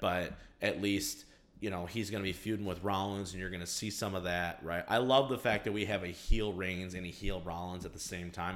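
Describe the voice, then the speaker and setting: This man has a very deep, low voice and an American accent. He talks at a fairly quick pace with fairly even intonation. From Michigan, Detroit area. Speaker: sports podcast host and assistant football coach. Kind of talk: casual sports chat and interview.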